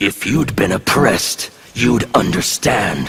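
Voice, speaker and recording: A man does a raspy put-on character voice at medium pitch, speaking at a fairly slow pace. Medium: dub. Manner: intimidating.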